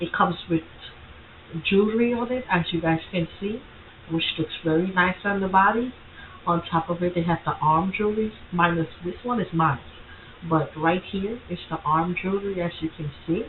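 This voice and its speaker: Over noticeable background noise, a woman talks at a moderate pace with medium pitch and ordinary pitch variation. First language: not English. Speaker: content creator tutorial host. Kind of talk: screen-share tutorial. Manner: casual, halting with self-corrections.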